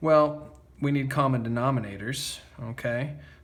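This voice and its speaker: With audible room echo, a man talks at a fairly slow pace and with fairly even intonation. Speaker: math teacher. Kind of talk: tutorial. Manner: casual, many fillers like okay.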